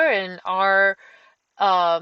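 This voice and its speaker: A woman with a Romanian accent at a very slow pace, her tone bright and sharp, in a dry, close sound with no echo against a quiet background. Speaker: caver. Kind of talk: presentation talk. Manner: halting, many fillers.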